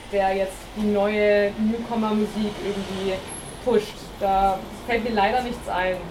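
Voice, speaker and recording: A woman with a medium pitch talks very slowly in a monotone, flat way. Audible room echo and noticeable background noise are present. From Bavaria. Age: 20s. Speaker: music student and singer-songwriter. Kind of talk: panel discussion.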